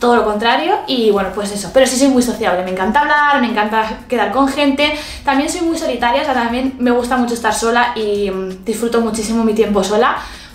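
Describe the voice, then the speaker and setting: A woman speaks at a fairly quick pace, her pitch fairly high with ordinary variation. Room echo is audible. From Spain. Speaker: beauty youtuber. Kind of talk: casual vlog talk to camera. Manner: animated. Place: home room.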